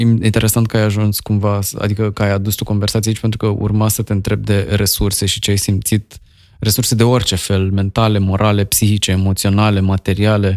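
This man speaks fairly quickly at a fairly low pitch, with monotone, flat intonation and very even loudness. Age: 40s. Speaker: podcast host. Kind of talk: casual chat.

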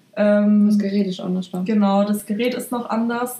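With a dark, mellow tone, a woman speaks in a somewhat breathy, monotone, flat delivery. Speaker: hairdresser. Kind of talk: casual chat.

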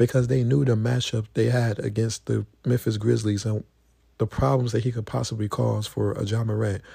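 With a dark, mellow tone, a somewhat breathy man speaks at a moderate pace and fairly low pitch, with ordinary pitch variation, in a very clean recording with a silent background. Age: 20s. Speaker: solo podcaster on basketball and rap. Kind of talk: casual solo commentary. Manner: halting, many fillers.

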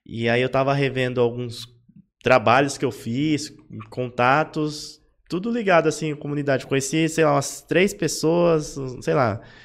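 In a very clean recording with a silent background, a man with an unremarkable speaking voice talks at a moderate pace, his pitch fairly high and its variation ordinary. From São Paulo, Zona Leste (Itaquera). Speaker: design podcast host. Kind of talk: casual chat. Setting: live-streamed podcast.

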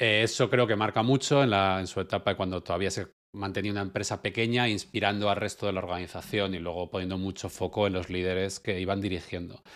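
A man's fairly low voice at a very fast pace with hardly any pauses and fairly even intonation, in a very clean recording with a silent background. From Spain. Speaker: product manager, podcast co-host. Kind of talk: casual panel discussion.

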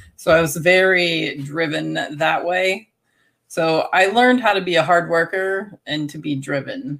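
An ordinary speaking voice from a woman, fairly low in pitch, fairly slow, with lively intonation. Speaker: homesteader and former teacher. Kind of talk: casual interview.

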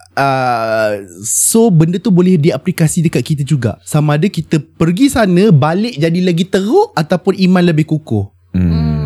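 Very wide pitch swings mark this man's high voice, delivered at a moderate pace with very even loudness and a dark, mellow tone in a dry, close sound with no echo. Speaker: religious teacher and pilgrimage guide. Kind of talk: casual chat. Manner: animated.

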